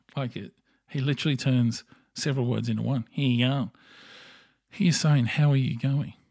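Speaking with an Australian accent at a medium pitch, a man moves at a fairly quick pace with fairly even intonation and long, frequent pauses, on a very clean recording with a silent background. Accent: Australian twang. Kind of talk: casual monologue.

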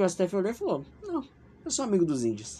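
A man speaks at a moderate pace in an animated tone. His pitch swings very widely. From Brazil, São Paulo. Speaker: podcast host. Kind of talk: casual political commentary.

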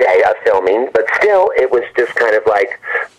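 At a moderate pace, a man speaks with noticeable background noise behind him. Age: 60s. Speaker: horror film director and actor. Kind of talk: interview.

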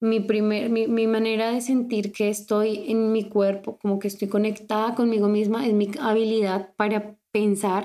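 A woman speaks at a moderate pace in a fairly high voice with a dark, mellow tone and flat, monotone intonation, on a very clean recording with a silent background. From Colombia. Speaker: life coach and podcast host. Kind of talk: personal monologue podcast.

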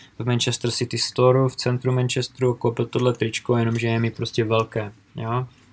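This man's pitch sits in the medium range, and he talks at a moderate pace. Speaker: real estate investment YouTuber. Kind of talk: live Q&A stream. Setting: livestream from home in a village.

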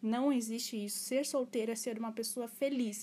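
Somewhat breathy and fairly high, a woman's voice keeps a moderate pace and fairly even intonation. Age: 20s. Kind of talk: casual solo podcast talk. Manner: halting.

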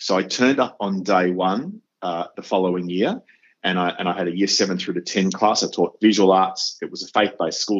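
A man speaks with an Australian accent at a fairly quick pace. His pitch is fairly low and his intonation fairly even. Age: 50s. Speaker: educator and podcast host. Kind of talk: interview.

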